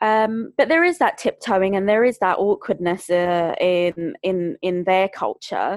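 A woman with a London accent at medium pitch and a fairly slow pace, ordinary pitch variation, hardly any pauses, in a dry, close sound with no echo against a quiet background. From Greater London. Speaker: bereavement support worker and podcaster. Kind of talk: casual interview chat.

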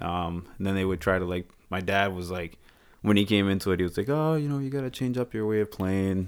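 A fairly low-pitched man with an American accent at a fairly quick pace and ordinary pitch variation, on a very clean recording with a silent background. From Boston. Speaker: mechanic. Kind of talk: casual chat. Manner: terse.

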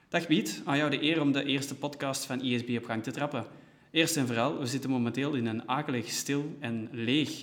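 A man with an ordinary speaking voice talks at a medium pitch and fairly quick pace with fairly even intonation. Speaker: podcast host, organisation staff. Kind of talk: scripted podcast intro and interview. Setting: meeting room used as studio in an empty office.

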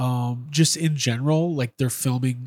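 Recorded with a dry, close sound and no echo, a man with an American accent and a normal speaking voice talks at a moderate pace, with medium pitch and fairly even intonation. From Chicago, US Midwest. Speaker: podcast host and toy collector. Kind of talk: casual chat.

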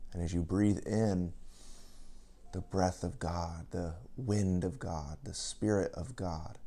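The delivery comes at a very slow pace, with long, frequent pauses. Pitch variation is ordinary. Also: man, very deep, low pitch for a man. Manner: calm, gentle, unhurried, inviting.

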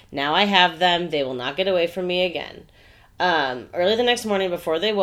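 Pitch moves in an ordinary way across a natural reading voice.

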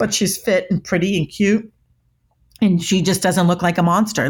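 In a very clean recording with a silent background, a woman with a fairly low, somewhat breathy voice speaks at a moderate pace with ordinary pitch variation. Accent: American. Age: 50s. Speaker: body language expert. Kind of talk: interview.

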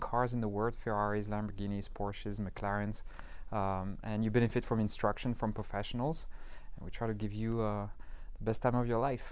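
A man speaks with fairly even intonation in a room with audible echo. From France, Paris. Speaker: business co-founder. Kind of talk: interview.

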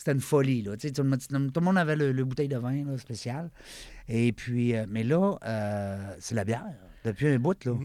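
In a Quebec accent, the speaker has a dark, mellow tone, lively intonation and a moderate pace, on a very clean recording with a silent background. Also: man, medium pitch for a man. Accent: Québécois French. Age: 50s. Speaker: podcast host. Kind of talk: casual interview.

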